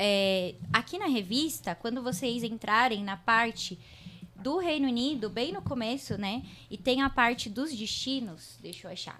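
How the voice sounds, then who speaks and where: Her bright, sharp tone and fairly high pitch come with big swings in loudness, as this woman speaks at a fairly slow pace with lively intonation. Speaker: podcast host. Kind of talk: podcast interview.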